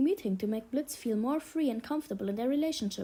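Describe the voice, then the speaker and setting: Very fast and lively in intonation, a woman with a German accent speaks in a high pitch with a dark, mellow tone. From Germany. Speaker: YouTube commentator. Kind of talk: video essay rant.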